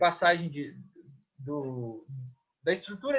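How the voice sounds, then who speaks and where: A man talks at a moderate pace. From Minas Gerais, Brazil (Governador Valadares). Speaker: physical education lecturer and swimming coach. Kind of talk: interview. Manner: casual, hesitant with many repetitions.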